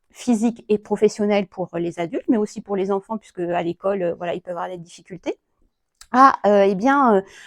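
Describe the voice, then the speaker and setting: A woman's medium-pitched voice at a fairly quick pace, with big swings in loudness and ordinary pitch variation, in a very clean recording with a silent background. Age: 40s. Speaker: psycho-energy therapist. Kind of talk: self-presentation talk. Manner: hesitant, many fillers.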